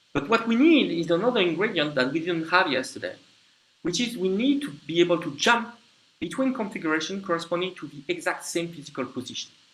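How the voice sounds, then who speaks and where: In a French accent, a man talks at a very fast pace. His pitch is high and his intonation lively. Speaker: lecturer. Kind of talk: lecture. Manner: halting, with frequent fillers and restarts.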